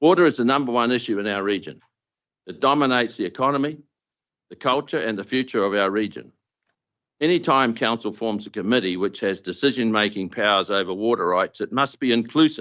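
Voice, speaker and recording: With a New Zealand accent, a man of medium pitch talks at a fairly quick pace with lively intonation. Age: 70s. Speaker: farmer. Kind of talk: public deputation speech. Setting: council meeting. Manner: formal.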